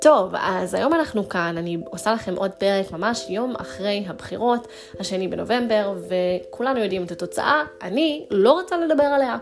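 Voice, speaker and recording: Over noticeable background noise, a woman speaks at a moderate pace with hardly any pauses. Her pitch swings very widely. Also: medium pitch for a woman. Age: 20s. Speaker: journalist and podcast host. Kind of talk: solo podcast monologue.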